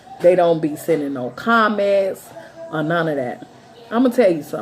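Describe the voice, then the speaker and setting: Against noticeable background noise, a woman speaks at fairly low pitch with very wide pitch swings. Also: moderate pace. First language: not English. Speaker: tarot reader and psychic. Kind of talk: monologue to viewers.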